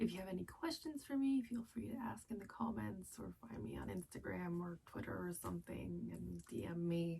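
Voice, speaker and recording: A soft-spoken woman talks at a moderate pace with hardly any pauses. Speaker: book youtuber. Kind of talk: casual vlog monologue. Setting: closet floor at night.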